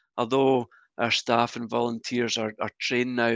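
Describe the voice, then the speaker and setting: Against a quiet background, a man with a Glasgow accent speaks at a moderate pace and medium pitch, the sound dry and close with no echo. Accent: Scottish (Glasgow). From Scotland, Glasgow. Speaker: church minister. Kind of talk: interview conversation.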